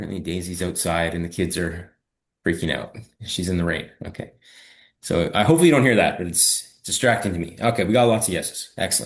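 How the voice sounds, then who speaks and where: A man with a Canadian accent talks at a very fast pace in a very deep, low voice. His pitch varies in an ordinary way, and the background is quiet. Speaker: fitness coach. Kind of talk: live webinar training. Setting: live video stream with chat. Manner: casual, conversational.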